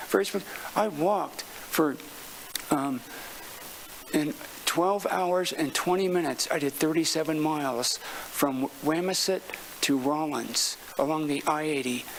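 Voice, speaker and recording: Noticeable noise sits in the background while the talking goes along at a moderate speed. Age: 60s. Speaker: public commenter. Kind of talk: public comment at city council meeting. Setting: city council meeting chamber. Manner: halting, repeating words.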